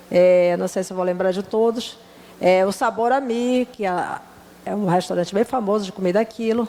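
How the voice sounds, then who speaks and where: The voice moves at a moderate pace with fairly even intonation. Noticeable background noise is present. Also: woman, medium pitch for a woman. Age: 60s. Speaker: restaurant owner and businesswoman. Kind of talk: panel discussion. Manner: hesitant, many fillers.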